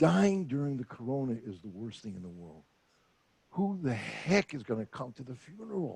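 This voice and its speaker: A man with an American accent, medium pitched and somewhat breathy, at a moderate pace with very wide pitch swings and big swings in loudness. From US. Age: 80s+. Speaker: retired therapist and former announcer. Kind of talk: interview.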